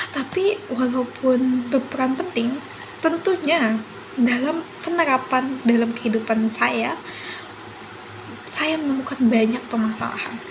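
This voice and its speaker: The speaker goes at a fairly slow pace, with long, frequent pauses and ordinary pitch variation. Noticeable background noise and audible room echo fill the recording. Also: woman, high pitch for a woman. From South Kalimantan, Indonesia (Banjar). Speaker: university student. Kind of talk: class assignment presentation. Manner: formal.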